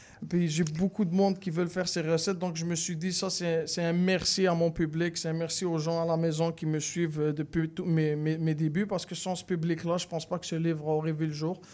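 The speech runs at a fairly quick pace with hardly any pauses and monotone, flat intonation. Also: man, high pitch for a man. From Morocco. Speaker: chef. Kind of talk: radio interview. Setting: radio studio.

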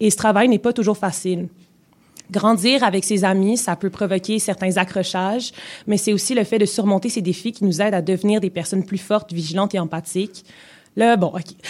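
A woman with a medium-pitched, somewhat breathy voice talks at a fairly quick pace. Her intonation stays fairly even. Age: 20s. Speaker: radio columnist. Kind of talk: scripted column reading. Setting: radio studio.

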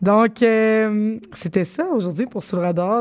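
This woman talks with ordinary pitch variation. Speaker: radio host. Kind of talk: radio show hosting. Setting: studio.

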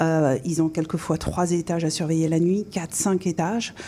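A woman with a dark, mellow tone speaks fairly low for a woman, her intonation fairly even. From France. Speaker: business coach. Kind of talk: radio interview. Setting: studio.

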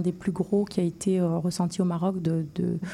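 Her voice has a dark, mellow tone at a medium pitch. The woman sounds somewhat breathy. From Morocco. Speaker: surgeon. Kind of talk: interview.

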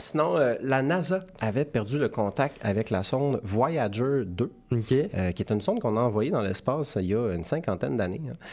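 Here is a plain, everyday voice from a man at medium pitch. He moves at a moderate pace with lively intonation. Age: 30s. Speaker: satirical news columnist. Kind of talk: comedic news commentary. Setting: studio.

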